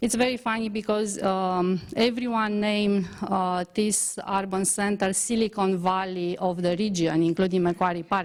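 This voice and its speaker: A woman with a Romanian accent speaks at a moderate pace in a medium-pitched voice with fairly even intonation. Her loudness stays very even, with hardly any pauses. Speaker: transport engineer researcher. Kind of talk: conference presentation. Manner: halting, many fillers.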